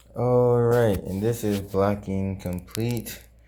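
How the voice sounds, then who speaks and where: Speech moves at a very slow pace in a very clean recording with a silent background. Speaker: YouTuber and student. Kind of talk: DIY tutorial vlog. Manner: casual with fillers.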